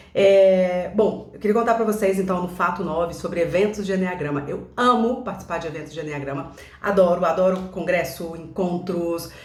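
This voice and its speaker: A woman with a fairly low pitch and ordinary pitch variation speaks at a moderate pace with hardly any pauses, with audible room echo and noticeable background noise. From Brazil, Belo Horizonte (Minas Gerais). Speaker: enneagram coach. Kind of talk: casual vlog monologue. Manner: hesitant, many filler sounds.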